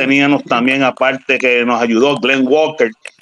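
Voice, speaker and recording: Fairly high for a man, the voice is bright and sharp, with monotone, flat intonation at a moderate pace and a dry, close sound with no echo. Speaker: former baseball catcher. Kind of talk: casual chat.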